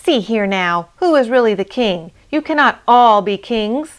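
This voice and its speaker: A female-sounding put-on character voice sits at a fairly high pitch for a woman. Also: moderate pace. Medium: read story. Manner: small, timid.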